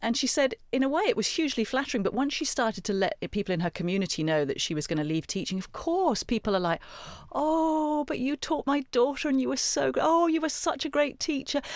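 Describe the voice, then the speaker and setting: Over a silent background on a very clean recording, a woman with a high pitch talks at a fairly quick pace with very wide pitch swings. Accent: British. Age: 40s. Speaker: career coach and former journalist. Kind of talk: interview.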